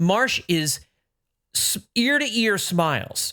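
A man's high, bright, sharp voice, raised and projected, enthusiastic, with very wide pitch swings on a very clean recording with a silent background. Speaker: podcast host, baseball writer. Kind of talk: casual sports recap chat. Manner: enthusiastic, fired up.

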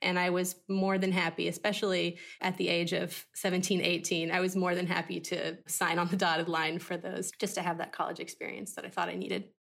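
A woman with a fairly low pitch and vocal fry, monotone and flat, at a fairly quick pace with hardly any pauses, in a very clean recording with a silent background. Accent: American. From US South, southern Arkansas. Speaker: PR manager. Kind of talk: interview.

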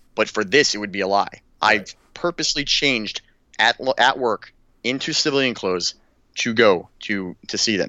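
A normal speaking voice, moderate in pace, with ordinary pitch variation. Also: man, medium pitch for a man. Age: 30s. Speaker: war veteran. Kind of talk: casual chat.

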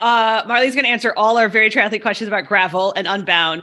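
Recorded very cleanly against a silent background, a woman speaks at a fairly high pitch in a bright, sharp tone. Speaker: podcast host. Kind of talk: casual chat.

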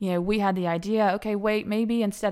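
In a Southern US accent, a woman talks at a very fast pace with medium pitch and ordinary pitch variation, recorded very cleanly against a silent background. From Alabama. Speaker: accountant. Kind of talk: interview.

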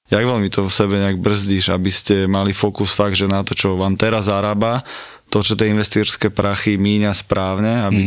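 A man's fairly low voice at a moderate pace, monotone and flat in intonation, with very even loudness. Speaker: podcast host. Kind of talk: interview.

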